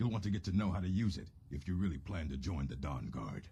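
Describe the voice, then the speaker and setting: A man uses a put-on character voice with a very deep, low pitch. He talks at a very fast pace. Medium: video game. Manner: gruff, matter-of-fact.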